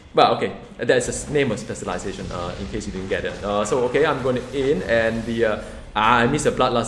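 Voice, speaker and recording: A man talks very fast in an animated tone at a medium pitch, with ordinary pitch variation. The room echo is audible, and background noise is noticeable. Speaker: gaming YouTuber. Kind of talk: gameplay commentary.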